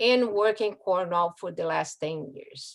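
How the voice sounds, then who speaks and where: A woman speaks with a strong Brazilian accent. Her pace is fairly slow. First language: Portuguese. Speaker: community resident speaker. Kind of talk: prepared public talk. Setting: video call.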